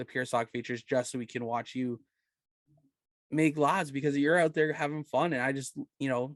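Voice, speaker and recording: A man speaks in an unremarkable speaking voice at medium pitch. His intonation stays fairly even, and the sound is dry and close with no echo. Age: 20s. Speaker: podcast host. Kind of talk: casual chat.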